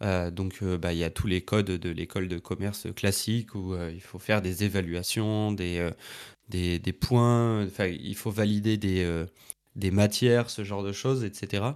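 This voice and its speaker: Recorded very cleanly against a silent background, a man with a fairly low voice speaks very slowly with fairly even intonation. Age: 20s. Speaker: entrepreneur and trainer for content creators. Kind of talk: casual interview. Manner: hesitant, many fillers.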